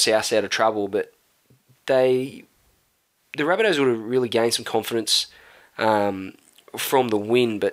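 This man has an Australian accent and a medium-pitched voice with a bright, sharp tone. He talks at a fairly slow pace with fairly even intonation, in a very clean recording with a silent background. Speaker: podcast co-host. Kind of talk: casual chat.

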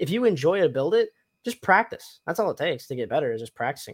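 Animated in tone, a man speaks with an American accent. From US South, Tennessee. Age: 20s. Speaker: cosplay podcast host. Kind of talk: casual chat. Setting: live stream.

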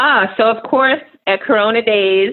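A woman with a New York accent speaks at a moderate pace in a fairly high voice, her pitch varying in an ordinary way. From New York City, Queens. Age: 40s. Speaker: nonprofit operations executive. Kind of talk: casual interview.

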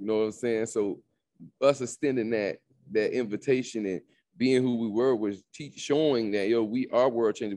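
This man has a dark, mellow tone and a medium pitch with ordinary variation. He speaks with an American accent at a fairly quick pace. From South Florida (Miami). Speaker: digital business coach, entrepreneur. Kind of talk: podcast interview. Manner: animated.

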